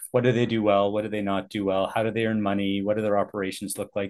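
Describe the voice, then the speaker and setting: A man speaks with a Canadian accent and a fairly low pitch. The background is quiet. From Canada, Vancouver area (Richmond, BC). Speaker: airport executive, former accountant. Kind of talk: casual interview.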